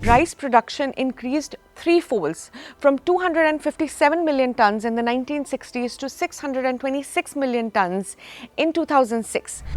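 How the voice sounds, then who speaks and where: Over a dry, close sound with no echo, a woman with a high voice speaks at a moderate pace. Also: ordinary pitch variation. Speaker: podcast host. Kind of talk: podcast introduction.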